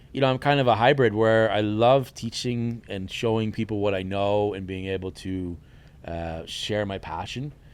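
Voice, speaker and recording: A man's fairly low voice with an American accent, an ordinary speaking voice, ordinary pitch variation and a moderate pace. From New York, Hudson Valley. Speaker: chef and culinary instructor. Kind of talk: casual chat.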